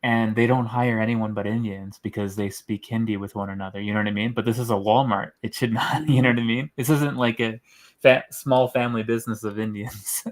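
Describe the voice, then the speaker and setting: With a Canadian accent, a man speaks at a fairly quick pace and medium pitch, his intonation fairly even and his delivery carrying hardly any pauses in an unremarkable speaking voice. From Canada. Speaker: caller. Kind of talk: casual chat.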